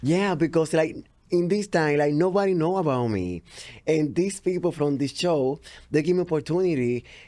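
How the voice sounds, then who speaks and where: A man with a Spanish accent uses lively intonation and a fairly high pitch on a very clean recording with a silent background. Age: 30s. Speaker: TV entertainment reporter. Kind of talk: interview.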